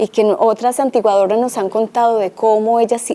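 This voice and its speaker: A woman with a Colombian accent and a dark, mellow tone speaks at a moderate pace, her fairly high pitch carried by fairly even intonation. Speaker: cultural heritage researcher. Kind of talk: presentation talk.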